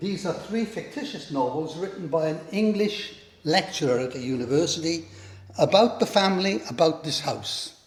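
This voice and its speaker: Over noticeable background noise, a man with a Welsh accent speaks at a moderate pace in a high pitch with lively intonation. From Wales. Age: 70s. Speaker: historic house owner. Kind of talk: guided house tour.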